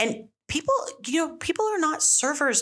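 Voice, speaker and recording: A woman talks at a moderate pace with vocal fry. Her pitch swings very widely. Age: 40s. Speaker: restaurant and bar owner. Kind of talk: casual chat.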